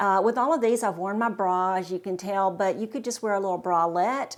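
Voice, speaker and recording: In a very clean recording with a silent background, a woman of medium pitch talks at a fairly quick pace in an ordinary speaking voice. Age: 60s. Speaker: fashion vlogger. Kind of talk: casual talk to camera.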